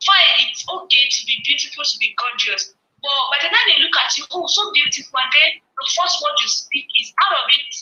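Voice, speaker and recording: A woman with an extremely high pitch speaks in a passionate tone at a moderate pace. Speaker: nurse and health advocate. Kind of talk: motivational talk.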